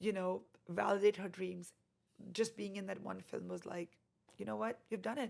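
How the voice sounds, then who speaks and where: A woman with an Indian accent speaks at a moderate pace. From India (Delhi), later Canada. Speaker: actress and boutique owner. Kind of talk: interview conversation. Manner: halting with fillers.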